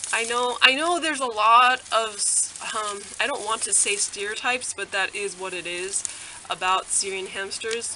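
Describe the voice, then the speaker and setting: A woman talks at medium pitch and a fairly slow pace. Her pitch varies in an ordinary way over noticeable background noise. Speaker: hamster keeper. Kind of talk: casual talk to camera. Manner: hesitant, many fillers.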